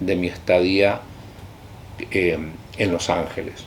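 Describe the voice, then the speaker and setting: A man speaks with a very deep, low pitch. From Chile. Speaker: linguistics professor. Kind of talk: interview answer.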